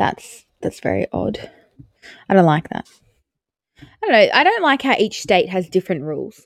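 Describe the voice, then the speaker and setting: Speaking at a moderate pace with an Australian accent, a woman leaves long, frequent pauses, and the sound is dry and close with no echo. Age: 20s. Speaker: podcast co-host. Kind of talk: casual chat.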